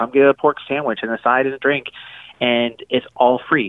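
This man speaks at a moderate pace and a medium pitch. He has a plain, everyday voice. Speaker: restaurant chain kindness officer. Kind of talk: casual interview. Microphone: connection broke up.

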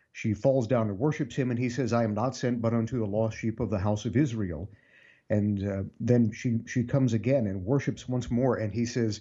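This man has an unremarkable speaking voice, moving at a moderate pace with ordinary pitch variation. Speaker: freelance writer and commentator. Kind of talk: radio interview.

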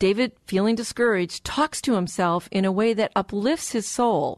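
A woman with an unremarkable speaking voice at a moderate pace. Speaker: radio show host and relationship doctor. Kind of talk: radio interview chat. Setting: studio.

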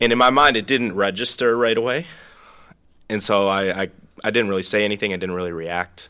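Speaking in an American accent, a man with a fairly low, bright, sharp voice shows ordinary pitch variation and long, frequent pauses, in a very clean recording with a silent background. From Minnesota, US. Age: 20s. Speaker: young adults ministry leader. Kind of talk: personal testimony.

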